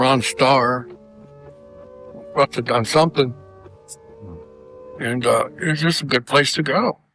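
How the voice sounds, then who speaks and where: With music playing in the background, a man talks at a medium pitch and a fairly slow pace, using ordinary pitch variation and taking long, frequent pauses. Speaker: Vietnam war veteran. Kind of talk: documentary interview.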